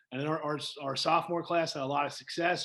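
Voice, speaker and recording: Talking at a fairly quick pace, this man has a fairly high pitch and an American accent. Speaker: high school football coach. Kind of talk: interview. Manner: energetic; halting, repeats words.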